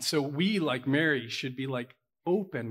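A man speaks with an American accent. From Pittsburgh, Pennsylvania. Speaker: pastor. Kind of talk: sermon. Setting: church with congregation.

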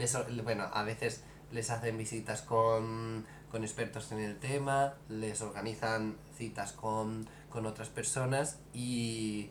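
In a room with audible echo, a man of medium pitch speaks very slowly with fairly even intonation. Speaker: podcast co-host. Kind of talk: casual chat.

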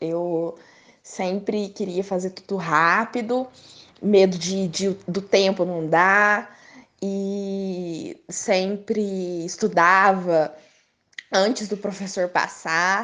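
Speaking very slowly, a woman uses a medium pitch. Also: fairly even intonation. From Brazil, Minas Gerais (Três Corações). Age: 20s. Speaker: law student. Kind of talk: casual interview.

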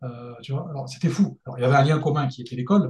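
A very fast male voice, dark and mellow in tone, somewhat breathy, with ordinary pitch variation. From France, Lyon region. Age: 30s. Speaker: engineer and freelance mentor. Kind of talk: casual interview.

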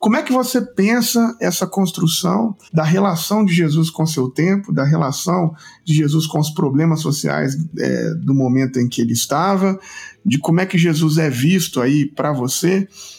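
Lively intonation runs through a normal speaking voice delivered at a moderate pace. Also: man, fairly high pitch for a man. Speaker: podcast host. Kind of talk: read-out sponsor message; interview.

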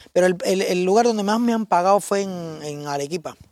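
Fairly quick pace from a man with a high pitch. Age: 30s. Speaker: robot costume performer. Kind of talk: casual chat.

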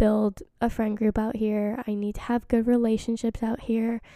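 Recorded very cleanly against a silent background, a woman with a fairly high pitch and a dark, mellow tone sounds dry and close, with no echo. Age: 20s. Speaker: podcast host. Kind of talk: casual monologue. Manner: chatty, many fillers.

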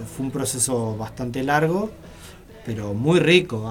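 A man's medium-pitched voice at a fairly slow pace, with audible room echo. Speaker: rock musician. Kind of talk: radio interview. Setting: radio studio.

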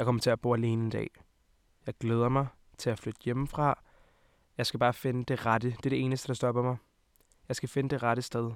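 Over a dry, close sound with no echo, a man speaks in a monotone, flat intonation at a medium pitch and fairly quick pace, with long, frequent pauses. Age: 20s. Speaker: podcast host. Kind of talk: casual chat.

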